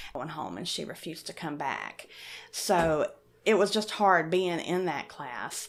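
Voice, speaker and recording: A woman talks at a medium pitch with an Appalachian accent. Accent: Appalachian mountain accent, noticeable. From western North Carolina mountains (Appalachia). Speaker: science outreach director. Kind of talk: interview.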